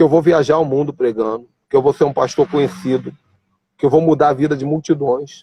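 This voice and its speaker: With a dark, mellow tone and a fairly high pitch, a man talks at a moderate pace in a dry, close sound with no echo. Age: 40s. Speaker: pastor. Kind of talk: casual chat. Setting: video call. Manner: animated.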